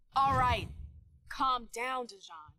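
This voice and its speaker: A female-sounding voice performs a put-on character voice. The pitch sits high. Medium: video game. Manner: dry, sardonic.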